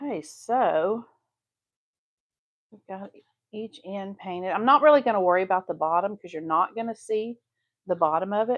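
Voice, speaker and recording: In a Texas accent, a woman speaks with lively intonation at a moderate pace, with long, frequent pauses. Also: medium pitch for a woman, big swings in loudness. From Southeast Texas. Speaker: craft tutorial host. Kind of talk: live craft tutorial. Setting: live stream. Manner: casual, chatty.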